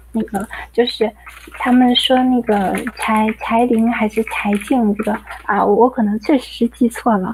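Over noticeable background noise, a woman with a fairly high pitch speaks at a fairly slow pace in a monotone, flat intonation. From Dalian, Liaoning, China. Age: 20s. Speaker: caller. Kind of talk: reading aloud.

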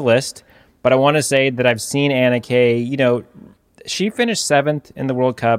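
Here is a man at medium pitch with a normal speaking voice and fairly even intonation. He talks at a fairly quick pace on a very clean recording with a silent background. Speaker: cyclocross commentator. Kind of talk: casual chat. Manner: punning, joking.

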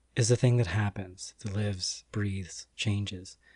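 A man with an American accent has an unremarkable speaking voice and a fairly low pitch. He keeps a moderate pace and fairly even intonation. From United States. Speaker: podcast trainee. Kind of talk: casual chat; scripted narration.

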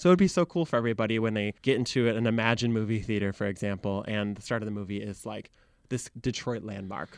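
A man with a Michigan accent talks at a very fast pace and a fairly low pitch, with ordinary pitch variation. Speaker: social media content creator. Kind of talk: interview conversation. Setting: radio studio.

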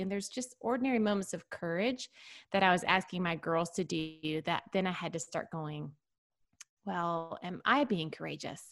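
On a very clean recording with a silent background, a woman with a normal speaking voice talks at a moderate pace in a fairly low pitch with ordinary pitch variation. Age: 40s. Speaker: author and podcast host. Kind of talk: casual chat.

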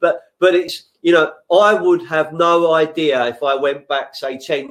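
A man with a London accent. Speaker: podcast host. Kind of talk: casual interview chat. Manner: passionate, animated.

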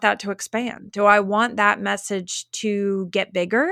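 A woman with an ordinary speaking voice talks at a fairly slow pace in a fairly high pitch on a very clean recording with a silent background. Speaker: LinkedIn coach. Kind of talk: casual interview chat. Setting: home office.

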